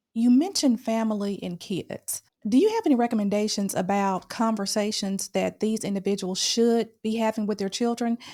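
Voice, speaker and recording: With a dark, mellow tone and fairly high pitch, a woman speaks at a moderate pace with hardly any pauses and fairly even intonation, in a very clean recording with a silent background. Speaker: podcast host and coach. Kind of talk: podcast interview.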